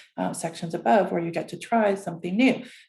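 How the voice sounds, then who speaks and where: A woman speaks with a dark, mellow tone that is somewhat breathy. Her pitch varies in an ordinary way. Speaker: academic advisor. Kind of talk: orientation presentation. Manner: fast; hesitant, many fillers.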